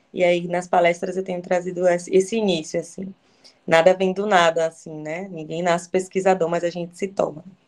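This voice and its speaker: With a Bahian accent, a woman talks at a fairly quick pace, her pitch fairly low and her intonation monotone and flat. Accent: Bahian Brazilian Portuguese. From Bahia, Brazil. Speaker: education researcher, lecturer. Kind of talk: lecture. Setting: video call. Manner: halting.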